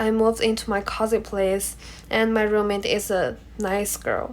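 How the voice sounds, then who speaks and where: A woman's fairly high voice with a Chinese accent, at a fairly slow pace, on a very clean recording with a silent background. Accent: Mandarin Chinese accent in English. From China. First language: Mandarin. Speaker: international student. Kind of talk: class presentation speech.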